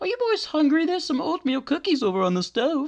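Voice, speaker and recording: A very fast, squeaky, high-pitched put-on character voice with very wide pitch swings. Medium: solo performance. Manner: rambling, sweet.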